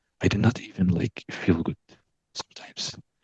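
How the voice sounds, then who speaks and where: A man speaks at a moderate pace. His voice is somewhat breathy. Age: young. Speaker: coaching client. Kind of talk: personal testimony. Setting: video call. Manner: halting, many fillers.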